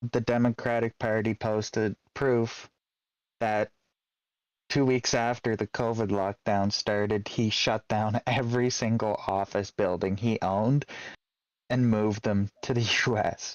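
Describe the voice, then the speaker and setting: With a Canadian accent, a man speaks fairly slowly at medium pitch, his loudness very even. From Canada. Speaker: streamer. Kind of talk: casual chat. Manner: animated.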